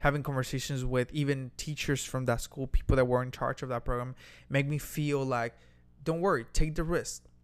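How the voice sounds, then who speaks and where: This man has an unremarkable speaking voice, fairly high in pitch. He talks at a moderate pace in a very clean recording with a silent background. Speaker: podcast co-host. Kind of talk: casual conversational podcast.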